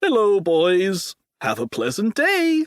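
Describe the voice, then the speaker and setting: Putting on a character voice, a man speaks fairly slowly at a high pitch with very wide pitch swings, in a dry, close sound with no echo. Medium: read story. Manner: eager, obedient.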